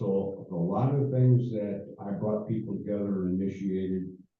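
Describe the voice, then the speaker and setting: A man with an American accent talks at a moderate pace with ordinary pitch variation, with audible room echo. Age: 70s. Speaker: former mayor. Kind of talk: speech to a club meeting. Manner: halting.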